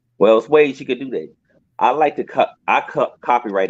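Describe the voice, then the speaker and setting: The pace is fairly quick. This man talks with an American accent. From Washington DC. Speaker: rapper and R&B artist. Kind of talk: interview.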